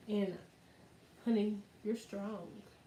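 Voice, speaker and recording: A woman speaks at a moderate pace with a fairly high pitch. Noticeable background noise runs underneath. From US South, Arkansas. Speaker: YouTuber. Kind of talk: casual livestream chat. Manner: animated.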